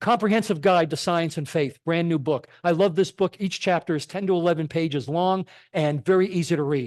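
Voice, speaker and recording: With an American accent, a man talks at a fairly quick pace and high pitch with ordinary pitch variation, the sound dry and close with no echo against a quiet background. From Connecticut, US. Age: 60s. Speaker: physician and lay speaker. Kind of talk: church talk.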